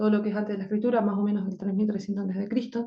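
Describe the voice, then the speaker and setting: This woman has an Argentine accent and a fairly high pitch. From Argentina. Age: 30s. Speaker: language teacher. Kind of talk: lecture. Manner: halting, with frequent fillers.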